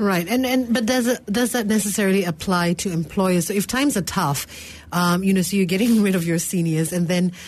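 A woman talks at a fairly quick pace in a fairly low, somewhat breathy voice. Her pitch variation is ordinary. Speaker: radio talk show co-host. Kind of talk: call-in radio show.

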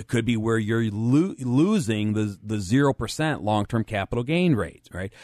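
A man speaks with hardly any pauses and ordinary pitch variation. The sound is dry and close with no echo, over a quiet background. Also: medium pitch for a man. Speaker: financial planner and radio show co-host. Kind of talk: casual chat; radio talk show. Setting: studio. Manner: fast.

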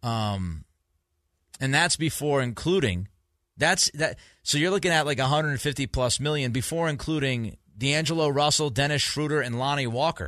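A man with an American accent speaks at a moderate pace and a fairly high pitch, with ordinary pitch variation. His loudness stays very even against a quiet background. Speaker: sports radio host. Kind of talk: sports talk radio. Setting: studio. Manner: animated.

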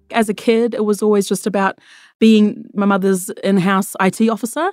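A woman with an Australian accent speaks with fairly even intonation in a very clean recording with a silent background and a dry, close sound with no echo. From Australia, First Nations. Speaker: tech worker. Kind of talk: interview answers.

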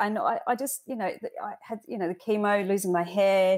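A woman with a British accent speaks with ordinary pitch variation. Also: very clean recording, silent background. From UK. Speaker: cancer survivor and charity volunteer. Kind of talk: interview. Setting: podcast. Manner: hesitant with frequent fillers.

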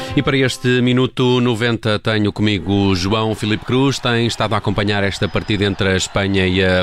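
With noticeable noise in the background, a man talks fairly quickly and varies his pitch in an ordinary way. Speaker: radio news host. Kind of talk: radio presenting.

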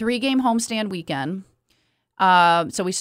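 A woman with an American accent and an unremarkable speaking voice, fairly low in pitch with ordinary pitch variation. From Kalamazoo, Michigan. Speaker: hockey team general manager. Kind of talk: casual chat. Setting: studio.

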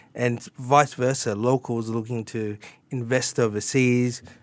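In a strong Australian accent, a man speaks at a fairly slow pace and medium pitch with monotone, flat intonation. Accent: broad Australian. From Sydney, Australia. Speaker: tax advisor. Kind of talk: radio interview.

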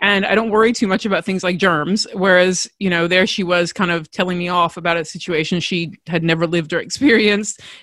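An Australian accent marks this woman's medium-pitched voice. She talks at a fairly quick pace with hardly any pauses on a very clean recording with a silent background. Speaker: podcast host. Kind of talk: solo podcast monologue, storytelling. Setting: recorded indoors, windy day. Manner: fast talker when passionate, animated.

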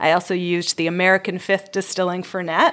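A woman with a medium pitch talks at a very fast pace. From Canada. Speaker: mixologist. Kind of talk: casual radio interview.

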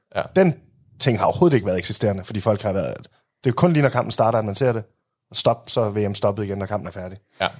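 Very fast and with lively intonation, a man speaks at a fairly low pitch. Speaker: football podcast co-host. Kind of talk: casual chat. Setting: studio.

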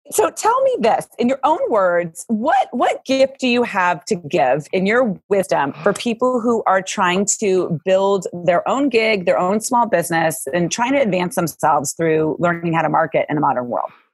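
A woman at medium pitch with an energetic, warm tone, very wide pitch swings, very even loudness and hardly any pauses. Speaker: podcast host. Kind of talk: casual interview chat. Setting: video call. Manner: fast talker.

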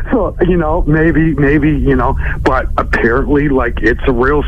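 A man's moderate-paced speech comes with audible room echo and noticeable background noise. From Halifax, Nova Scotia. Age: 50s. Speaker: radio caller. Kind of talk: casual storytelling on call-in radio. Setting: phone call.

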